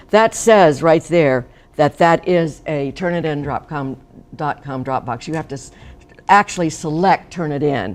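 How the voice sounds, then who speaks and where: A woman with a very deep, low pitch speaks at a fairly slow pace, with ordinary pitch variation and big swings in loudness. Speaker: college instructor. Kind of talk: workshop presentation. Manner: animated.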